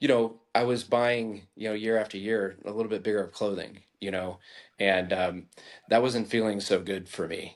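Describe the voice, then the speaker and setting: Against a quiet background, a man with an American accent speaks at a moderate pace, fairly low in pitch, with fairly even intonation. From Colorado. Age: 50s. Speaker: lawyer, fitness program client. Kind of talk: podcast interview. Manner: halting, many fillers.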